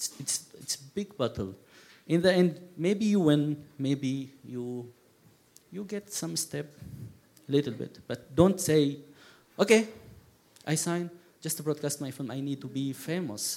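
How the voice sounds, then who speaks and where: With an Arabic accent, a man speaks fairly slowly at a fairly high pitch, his lively intonation marked by big swings in loudness and long, frequent pauses. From Syria. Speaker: documentary filmmaker. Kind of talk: panel discussion. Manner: halting.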